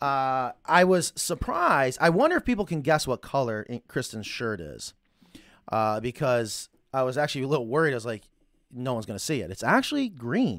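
A man with an American accent talks fairly quickly at a medium pitch. His intonation is lively, and the recording is very clean with a silent background. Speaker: chicken coop business owner and show host. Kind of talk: live show, casual chat. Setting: studio, live stream. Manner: fast talker.

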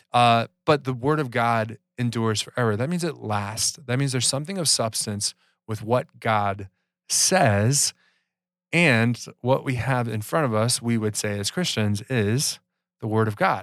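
On a very clean recording with a silent background, a man with a normal speaking voice talks at a fairly slow pace, medium in pitch with ordinary pitch variation. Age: 30s. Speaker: podcast host, church teacher. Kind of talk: casual chat about Bible history.

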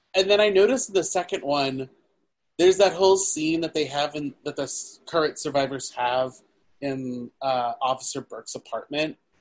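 A plain, everyday voice from a man, fairly high, at a moderate pace, its pitch varying in an ordinary way. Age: 30s. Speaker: podcast co-host, film reviewer. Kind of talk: casual chat.

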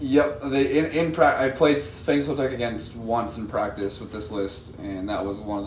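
A man talking with hardly any pauses, noticeable background noise behind him. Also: big swings in loudness. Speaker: tournament player. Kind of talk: casual banter. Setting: live at a tournament event.

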